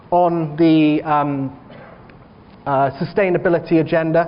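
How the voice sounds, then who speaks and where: This man's voice is high in pitch. He speaks fairly slowly with fairly even intonation. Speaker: bank research analyst, keynote speaker. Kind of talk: conference presentation.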